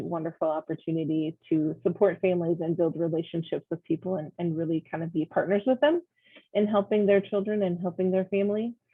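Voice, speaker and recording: The woman's pitch is fairly low, with ordinary variation. She speaks at a fairly quick pace. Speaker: early childhood program staff presenter. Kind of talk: presentation at networking meeting. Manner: fast; many filler ums.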